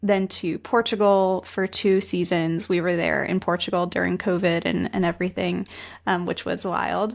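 A woman speaks in an ordinary speaking voice at a medium pitch, with fairly even intonation. The recording is very clean, with a silent background. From US, West Virginia. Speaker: design studio founder. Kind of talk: casual interview chat.

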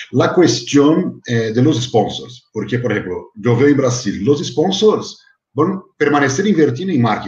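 A man speaks in a Portuguese accent at a medium pitch, his voice somewhat breathy. His intonation is lively and his pace fairly slow. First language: Portuguese (speaking Spanish). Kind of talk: panel discussion moderating.

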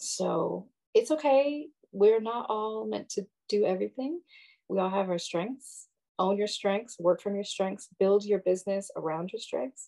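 Against a quiet background, a woman with a medium pitch and dark, mellow tone speaks at a fairly slow pace with lively intonation. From Minnesota, US. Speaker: wellness practitioner. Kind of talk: interview.

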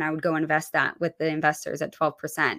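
A woman's bright, sharp tone with an American accent, in a very clean recording over a silent background. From New Hampshire, near Massachusetts border. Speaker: real estate agent. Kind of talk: interview.

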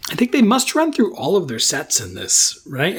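A man talks at a fairly quick pace in an ordinary speaking voice with ordinary pitch variation. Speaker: podcast co-host. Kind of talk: casual chat.

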